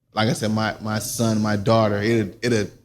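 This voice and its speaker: With a South Carolina accent, a man speaks at a fairly quick pace. His pitch is medium. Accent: US Southern (South Carolina). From South Carolina (Silver Bluff area). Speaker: interview show host. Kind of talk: casual interview.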